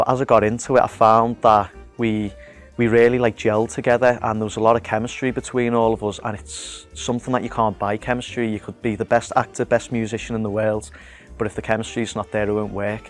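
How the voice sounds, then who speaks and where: A man with a Liverpool accent, very fast pace and fairly even intonation, over music in the background. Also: medium pitch for a man. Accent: Liverpool (Scouse). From Liverpool, England. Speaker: actor and musician. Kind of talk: interview answer about his acting role. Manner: casual, conversational, friendly.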